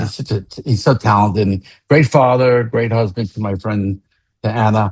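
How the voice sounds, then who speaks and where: Somewhat breathy, a man speaks at a moderate pace and fairly low pitch with fairly even intonation. The sound is dry and close, with no echo. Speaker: founder of a rock fantasy camp. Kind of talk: podcast conversation.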